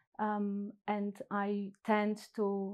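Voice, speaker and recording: A woman's medium-pitched voice with a Polish accent, in a very clean recording with a silent background. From Poland. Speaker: psychotherapist. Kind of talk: casual interview chat. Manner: halting with fillers.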